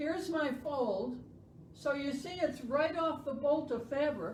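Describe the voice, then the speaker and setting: Loud and very slow, a woman speaks at a high pitch with audible room echo. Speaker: sewing instructor. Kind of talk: tutorial.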